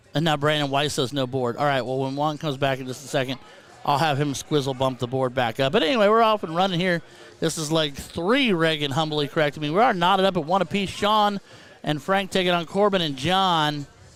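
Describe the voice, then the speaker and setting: Over noticeable background noise, a man talks at a fairly quick pace in a fairly high pitch with ordinary pitch variation. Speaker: darts commentator. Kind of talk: live commentary. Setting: live stream with headset. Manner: loud. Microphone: too quiet for viewers at first, then turned up.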